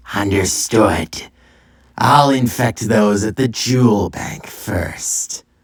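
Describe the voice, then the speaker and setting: A man's put-on character voice, raspy and playful, at a medium pitch and a very slow pace. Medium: read story. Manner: sly, playful.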